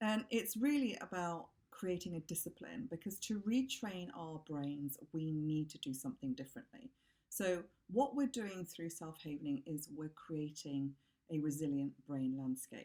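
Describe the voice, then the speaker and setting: A woman's fairly low, dark and mellow voice, calm in tone, moving at a moderate pace through very wide pitch swings. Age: middle-aged. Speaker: havening practitioner. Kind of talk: tutorial.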